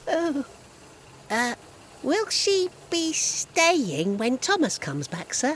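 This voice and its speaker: A high-pitched put-on character voice speaks at a very slow pace with long, frequent pauses. Background noise is clearly heard. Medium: audio drama.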